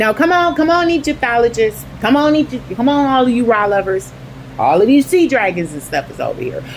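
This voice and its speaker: A woman talks in an animated tone at a fairly high pitch with very wide pitch swings. Noticeable background noise can be heard. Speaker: online video host. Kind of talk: religious commentary monologue. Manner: halting, stumbling over words.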